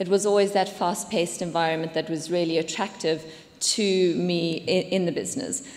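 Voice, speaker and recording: Noticeable background noise and audible room echo surround a speaker with a South African accent who talks at a moderate pace with ordinary pitch variation. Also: woman. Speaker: business executive. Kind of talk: conference talk. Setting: stage with audience.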